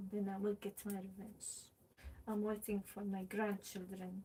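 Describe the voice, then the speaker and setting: Her tone is dark and mellow and somewhat breathy. The woman speaks at a fairly slow pace. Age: 30s. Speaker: pottery and craft livestreamer. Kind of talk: casual livestream chat. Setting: home livestream.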